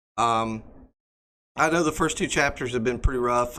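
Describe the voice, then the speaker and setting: The voice has a bright, sharp tone. Audible room echo surrounds it. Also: man. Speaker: EMS instructor. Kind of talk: lecture. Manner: hesitant, many fillers.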